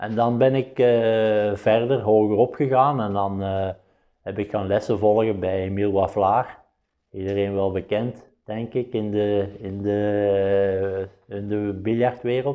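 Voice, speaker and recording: A man's fairly low pitch, fairly even intonation and very slow pace. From Belgium, Flanders (Limburg). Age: 50s. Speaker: professional billiards player. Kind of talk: interview monologue. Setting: studio. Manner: halting, many filler sounds.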